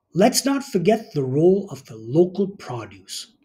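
A man's high-pitched voice with a dark, mellow tone, very wide pitch swings and a fairly slow pace. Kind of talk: scripted presentation to camera. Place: home room. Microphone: phone near.

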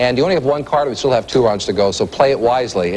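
There is noticeable background noise behind a man speaking at a very fast pace. His tone is upbeat and his intonation lively. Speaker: game show host. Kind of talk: TV game show hosting, rapid-fire quiz questions and score calls. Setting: stage with studio audience in a casino. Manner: brisk, upbeat quizmaster pacing, snapping out questions and verdicts; chummy and encouraging with contestants, light banter.

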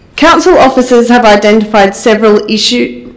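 A woman is speaking. Her pace is moderate. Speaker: public speaker. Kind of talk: prepared address to council. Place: hall.

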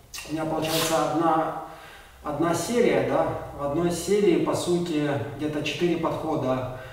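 There's strong room echo around this man. He speaks in a high voice. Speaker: athlete vlogger. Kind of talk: casual vlog chat. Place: gym.

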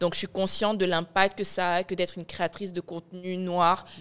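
A woman at a fairly quick pace. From Morocco (born in Ivory Coast). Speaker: media founder and content creator; content creator. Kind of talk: casual chat. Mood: reflective, warm. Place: studio. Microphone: studio mic.

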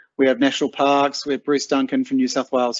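Over a quiet background, a man speaks with fairly even intonation. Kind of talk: webinar presentation. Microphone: video call.

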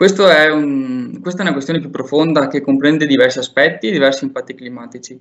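Using a plain, everyday voice, a man talks at a fairly quick pace with hardly any pauses, fairly high in pitch with ordinary pitch variation. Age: 20s. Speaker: urban planning graduate. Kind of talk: presentation and interview.

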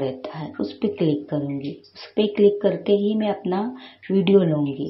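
A woman speaks at a medium pitch with lively intonation and a somewhat breathy quality. Audible room echo surrounds her voice. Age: 50s. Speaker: YouTube creator. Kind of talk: tutorial. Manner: halting.

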